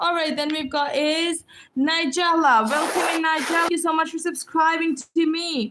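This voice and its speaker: This is a woman's voice. Her pitch is extremely high. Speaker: livestreamer writing names in sand. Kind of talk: live stream shout-outs. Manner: fast; upbeat, energetic.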